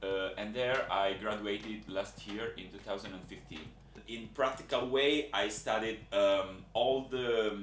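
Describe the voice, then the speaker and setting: Speaking fairly slowly with an Italian accent, a man with a fairly low pitch is heard amid audible room echo. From Italy. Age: 20s. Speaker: job applicant. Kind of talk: video application monologue. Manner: halting, with many fillers.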